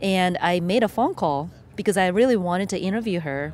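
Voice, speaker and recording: A woman with a Japanese accent, fairly low pitch, ordinary pitch variation and a moderate pace. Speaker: filmmaker and environmental educator. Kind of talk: interview. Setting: outdoors.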